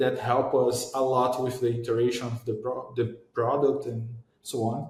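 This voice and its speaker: A man with a Portuguese accent at a moderate pace, with audible room echo. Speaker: startup founder. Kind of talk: interview. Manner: halting.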